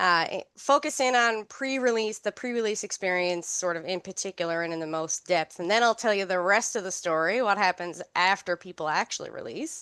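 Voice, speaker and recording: A woman with a Newfoundland accent, medium pitch, bright, sharp tone and lively intonation, fairly quick pace with hardly any pauses, quiet background and dry, close sound with no echo. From Newfoundland, Canada. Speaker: health researcher and occupational therapist. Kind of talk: research seminar talk. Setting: seminar room with online audience.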